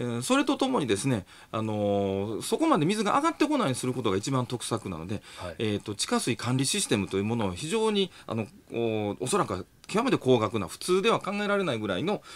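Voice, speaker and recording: This man's pitch swings very widely. He delivers his words at a very fast pace. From Japan, Nara; Japan. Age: 40s. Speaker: engineering professor; radio commentator, guest. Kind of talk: radio talk show interview. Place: studio.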